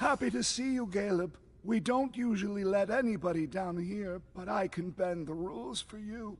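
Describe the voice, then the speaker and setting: The speaker is a man doing a put-on character voice. His pitch is high, and his pace is moderate. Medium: video game. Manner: urgent, secretive.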